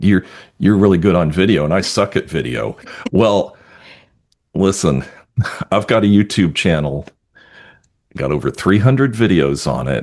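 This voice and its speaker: With an American accent, a man speaks in a very deep, low voice with vocal fry and long, frequent pauses. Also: lively intonation, moderate pace. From New York. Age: 60s. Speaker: realtor and webinar co-host. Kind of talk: casual chat.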